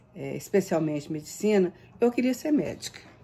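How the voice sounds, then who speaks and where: A woman speaks in a dark, mellow tone. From Brazil, Minas Gerais (Belo Horizonte). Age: 70s. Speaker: retired university professor. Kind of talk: recorded Q&A monologue. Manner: halting, many fillers.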